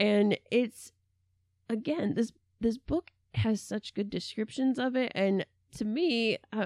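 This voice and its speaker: The recording of this woman is very clean with a silent background, dry and close with no echo. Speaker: librarian and podcast co-host. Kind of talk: casual chat. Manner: animated, jokey, laughs often.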